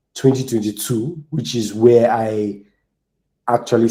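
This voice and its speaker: This voice has a dark, mellow tone and moves at a moderate pace with a Nigerian accent. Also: man. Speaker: software engineer and community speaker. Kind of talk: conference talk.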